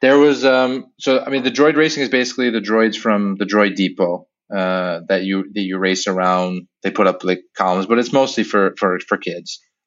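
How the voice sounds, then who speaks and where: In an ordinary speaking voice, a man with fairly low pitch talks at a moderate pace with hardly any pauses. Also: ordinary pitch variation. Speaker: website creator and Disney travel enthusiast. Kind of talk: casual chat, podcast interview.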